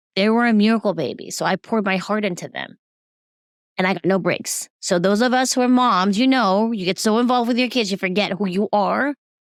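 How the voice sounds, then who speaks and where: At a fairly quick pace, a woman speaks in a normal speaking voice at medium pitch with ordinary pitch variation, in a very clean recording with a silent background and a dry, close sound with no echo. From Taiwan, raised in US from age six. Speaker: recovery coach, dancer and cancer survivor. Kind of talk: interview.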